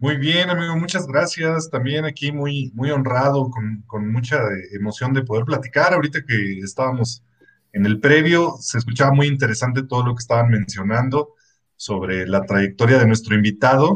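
This man's medium-pitched voice is somewhat breathy, moving at a moderate pace with ordinary pitch variation. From Mexico, Estado de México. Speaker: podcast co-host. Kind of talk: casual chat.

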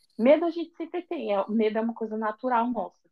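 A woman speaks with a fairly high pitch. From São Paulo, Brazil. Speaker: confectioner. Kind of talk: casual interview. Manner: animated.

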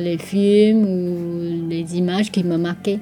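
A woman talks at a very slow pace in a fairly low pitch. Her intonation is monotone and flat, with noticeable background noise behind her. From Taiwan. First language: Taiwanese Hokkien, also Mandarin (speaking French). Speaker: boutique owner and artist. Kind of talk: radio interview portrait. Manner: halting, many hesitations and repetitions.

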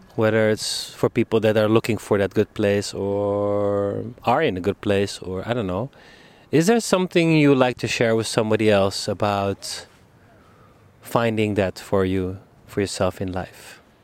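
Recorded very cleanly with a silent background and a dry, close sound with no echo, a man talks at a moderate pace in an ordinary speaking voice, fairly low in pitch, with ordinary pitch variation. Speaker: podcast host. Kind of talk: casual interview conversation. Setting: outdoors on a public bench. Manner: laughs often, casual.

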